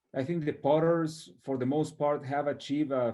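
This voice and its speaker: A man speaks with a Mexican accent. His pitch sits fairly high. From northern Mexico. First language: Spanish. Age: 30s. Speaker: potter. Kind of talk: interview. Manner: halting.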